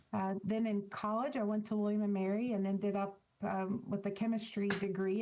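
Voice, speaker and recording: Speaking fairly quickly with a Virginia accent, a woman keeps her intonation fairly even. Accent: Virginian. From rural Virginia. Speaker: scientist with a chemistry PhD. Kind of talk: interview.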